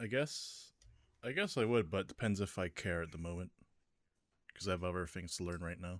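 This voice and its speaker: Speaking with an American accent, a man leaves long, frequent pauses on a very clean recording with a silent background. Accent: American-sounding. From UK, Southampton area, Filipino parents. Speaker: podcast co-host. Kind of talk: casual chat.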